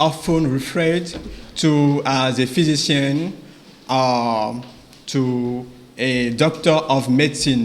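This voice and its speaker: A man's fairly high voice in a French accent, fairly even in intonation, with audible room echo. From Ivory Coast / Benin. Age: 20s. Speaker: medical doctor, English learner. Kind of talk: prepared oral presentation for exam jury. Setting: graduation ceremony before examining board. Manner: halting, with frequent hesitations.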